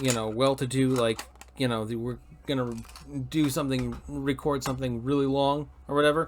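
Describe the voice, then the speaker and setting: A man's medium-pitched, flat monotone in an American accent at a fairly quick pace, against noticeable background noise. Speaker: podcast host. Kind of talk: casual chat. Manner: loud; halting, many repeated words.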